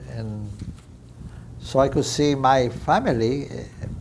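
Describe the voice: Over audible room echo, a man talks at a slow pace in a medium pitch, with a slightly mellow tone and ordinary pitch variation.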